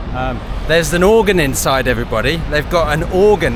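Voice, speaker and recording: Speaking in a British accent, a man talks at a fairly quick pace. Audible room echo and noticeable background noise fill the recording. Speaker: tour guide vlogger. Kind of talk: casual walking vlog. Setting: outdoors walking, then inside a department store. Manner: whispering.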